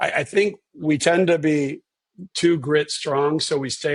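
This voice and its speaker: At a very slow pace, a man speaks in a fairly high pitch with ordinary pitch variation, in a dry, close sound with no echo. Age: 60s. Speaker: neurosurgeon. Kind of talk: interview. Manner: halting, many repeated words.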